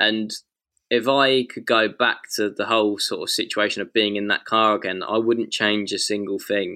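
On a very clean recording with a silent background, a man with an English accent speaks at a moderate pace. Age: 20s. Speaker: racing driver. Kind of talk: interview. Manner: halting.

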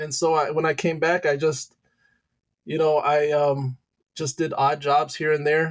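A man talks at a fairly slow pace in a Midwestern American accent, with long, frequent pauses. His pitch is fairly high and his intonation monotone and flat. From Michigan, Detroit area. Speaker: high school teacher and youth pastor. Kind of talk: testimony.

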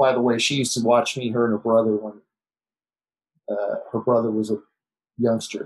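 With a General American accent, a man speaks at a medium pitch and moderate pace, using ordinary pitch variation. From Los Angeles area, US. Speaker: martial arts film actor and stunt performer. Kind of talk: casual interview.

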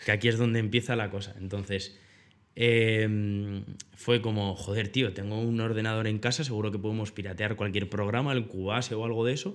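With monotone, flat intonation, a man speaks at a moderate pace in a fairly low pitch. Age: 20s. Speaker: video producer. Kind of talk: casual chat.

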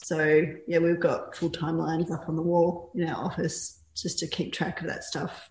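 A woman with an Australian accent speaks in a somewhat breathy voice at a fairly low pitch, with monotone, flat intonation. She keeps a moderate pace with hardly any pauses. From rural Victoria, Australia. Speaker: artist. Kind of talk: casual interview.

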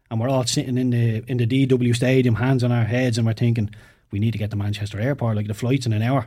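A man with an Irish accent talks at a very fast pace in a medium pitch, his tone dark and mellow and somewhat breathy. His intonation is monotone and flat, on a very clean recording with a silent background. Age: 30s. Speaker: former professional footballer. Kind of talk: casual chat. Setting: studio.

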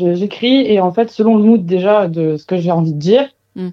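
In a normal speaking voice, a woman talks at medium pitch with ordinary pitch variation. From Marseille, southern France. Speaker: singer-songwriter. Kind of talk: interview.

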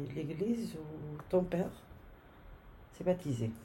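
Very slow and somewhat breathy, a woman speaks at a fairly low pitch with a dark, mellow tone and lively intonation amid audible room echo. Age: 60s. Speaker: grandmother. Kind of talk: casual chat.

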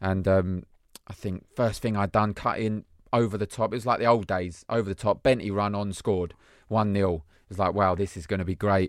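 On a very clean recording with a silent background, a normal speaking voice moves at a fairly quick pace with fairly even intonation. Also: man, fairly low pitch for a man. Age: 30s. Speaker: former pro footballer. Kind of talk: casual chat.

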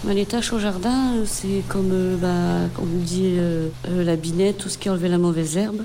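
Audible room echo surrounds a woman with a fairly low voice who speaks with fairly even intonation and hardly any pauses. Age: 40s. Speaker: garden and vegetable-processing worker in job reintegration. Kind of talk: testimony. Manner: hesitant.

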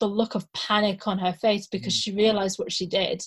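A woman speaks at a fairly high pitch in a flat monotone. Her voice is somewhat breathy, and her pace is moderate. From Scotland, then Carlisle. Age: 30s. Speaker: actor and supply teacher. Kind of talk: casual chat.

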